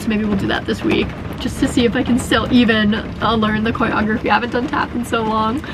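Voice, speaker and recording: Speaking at a fairly quick pace, a woman with a high-pitched voice is heard with audible room echo and noticeable background noise. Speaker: vlogger living in a bus. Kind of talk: casual vlog talk to camera. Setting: inside a bus during a thunderstorm. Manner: fast.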